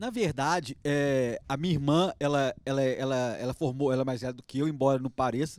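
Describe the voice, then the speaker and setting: In a strong Minas Gerais accent, a man speaks at a fairly quick pace. His pitch is fairly high, and his intonation is fairly even. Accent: strong mineiro (Minas Gerais). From Belo Horizonte, Minas Gerais, Brazil. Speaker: dentist. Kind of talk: interview chat. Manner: halting, many repetitions.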